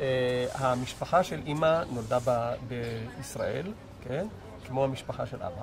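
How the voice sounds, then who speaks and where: Music plays in the background. A man speaks very slowly. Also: medium pitch for a man. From Israel, Jerusalem. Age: 70s. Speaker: interviewee recounting childhood. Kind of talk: oral history interview. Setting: outdoors.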